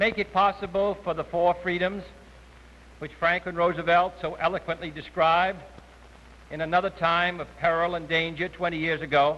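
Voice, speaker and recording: A man with a high pitch and an American accent speaks at a moderate pace in a bright, sharp tone with monotone, flat intonation. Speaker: president giving an award acceptance speech. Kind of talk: formal political speech to an audience. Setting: live podium speech at a formal dinner.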